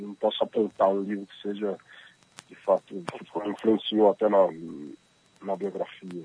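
A man talks at a fairly slow pace in a fairly low, monotone voice, with long, frequent pauses. His loudness swings widely, and the sound is dry and close with no echo. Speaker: author and journalist. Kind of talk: interview. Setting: phone call.

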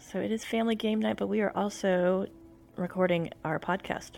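Over music in the background, a soft-spoken woman talks at a moderate pace in a medium pitch with ordinary pitch variation. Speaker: podcast co-host. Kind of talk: casual chat. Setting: livestream at home. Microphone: too quiet.

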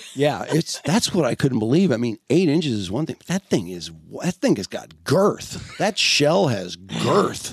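This man has a fairly high pitch and an American accent, with vocal fry and very wide pitch swings. He talks at a fairly slow pace in a dry, close sound with no echo. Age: 60s. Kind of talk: casual chat. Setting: studio.

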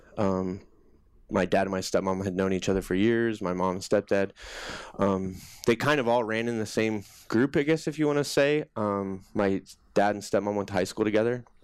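A man with an American accent speaks in an unremarkable speaking voice, fairly low in pitch. His pace is moderate and his pitch varies in an ordinary way. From US Midwest (Des Moines, Iowa). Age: 30s. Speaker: army veteran. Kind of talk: personal testimony in interview.

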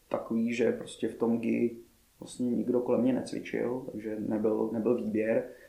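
A man speaks at a medium pitch with audible room echo. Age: 30s. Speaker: martial arts coach. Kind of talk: interview chat.

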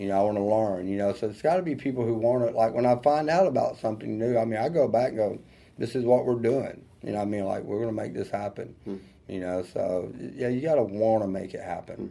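Speaking with a Southern US accent, a man of medium pitch talks at a very fast pace with hardly any pauses and ordinary pitch variation. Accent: Southern US country. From US South, rural North Georgia. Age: 50s. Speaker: hairstylist and salon owner. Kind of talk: interview.

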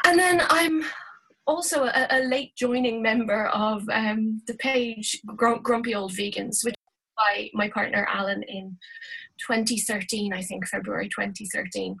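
Fairly slow speech from a woman with an Irish accent, fairly high in pitch with ordinary pitch variation. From Ireland, Dublin. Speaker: university lecturer. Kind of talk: interview. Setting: video call.

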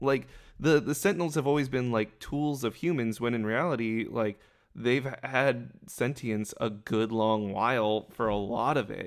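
Over a very clean recording with a silent background, an ordinary speaking voice moves at a moderate pace with ordinary pitch variation. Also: man, medium pitch for a man. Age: 30s. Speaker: podcast co-host. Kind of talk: casual chat.

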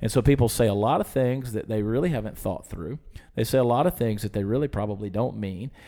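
A man with an American accent talks very fast in a dark, mellow tone, his medium pitch showing ordinary variation. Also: very clean recording, silent background. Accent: Southern US, muted. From US South, Georgia. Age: 40s. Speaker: TV and internet personality, musician. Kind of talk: casual chat.

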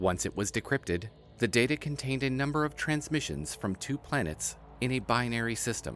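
A man's voice with very wide pitch swings at a moderate pace, music in the background. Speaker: narrator. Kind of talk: scripted narration.

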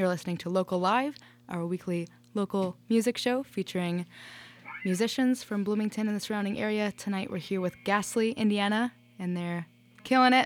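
A woman's ordinary speaking voice, medium in pitch, with ordinary pitch variation at a fairly quick pace. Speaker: radio host. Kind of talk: radio DJ patter, station ID and chatty interview banter. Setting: studio. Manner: upbeat, bubbly, casual, punctuated by laughs and 'sweet'.

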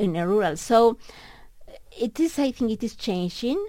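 In a very clean recording with a silent background, a woman with a Mexican accent uses lively intonation. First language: Spanish. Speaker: economics professor. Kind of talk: radio interview. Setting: radio studio. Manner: halting.

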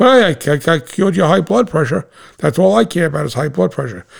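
A man's put-on character voice, fairly high in pitch, with very wide pitch swings and a fairly quick pace. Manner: ridiculous, mocking.

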